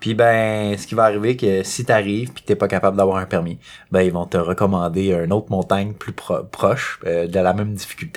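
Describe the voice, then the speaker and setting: A man with a Quebec accent speaks at a fairly quick pace and a fairly low pitch. His intonation is fairly even, but his loudness swings widely. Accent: Québécois French. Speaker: podcast host. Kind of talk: casual chat.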